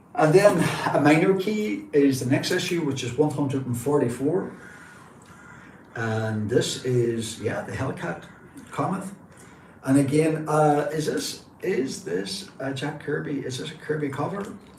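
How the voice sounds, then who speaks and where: The speaker has a northwest Irish accent and lively intonation at a fairly slow pace. Audible room echo and noticeable background noise fill the recording. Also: man, fairly high pitch for a man. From northwest Ireland. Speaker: comic book collector and livestreamer. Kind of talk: casual live stream show-and-tell. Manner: enthusiastic.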